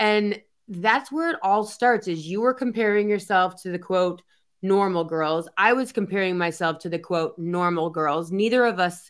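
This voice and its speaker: A woman speaks in a normal speaking voice with ordinary pitch variation. Her pace is fairly slow. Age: 50s. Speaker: podcast host. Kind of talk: casual chat.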